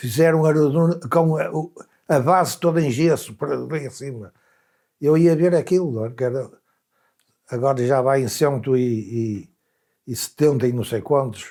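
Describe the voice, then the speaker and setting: The man's voice is fairly high in pitch, with a dark, mellow tone and ordinary pitch variation. He keeps a moderate pace broken by long, frequent pauses. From Portugal, Viana do Castelo. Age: 80s+. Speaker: elderly interviewee. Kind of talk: documentary interview, reminiscing.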